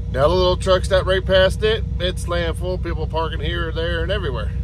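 A man, in a dry sound with no echo, against noticeable background noise. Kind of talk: casual vlog chat. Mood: mildly frustrated, weary. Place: car. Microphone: phone near.

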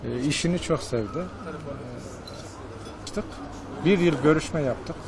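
Over noticeable background noise and audible room echo, a man speaks very slowly in a fairly high voice with ordinary pitch variation. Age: 60s. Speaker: shopkeeper. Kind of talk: interview. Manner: halting, many fillers.

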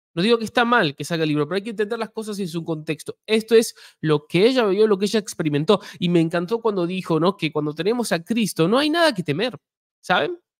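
A man with a high pitch speaks at a very fast pace over a quiet background. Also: lively intonation. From Argentina or Uruguay. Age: 20s. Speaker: YouTube host; podcast host. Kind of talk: live interview. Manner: halting, many fillers. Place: home room. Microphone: studio mic.

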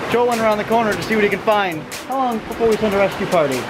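Over clear music in the background, a man with a high pitch speaks at a very fast pace with ordinary pitch variation.

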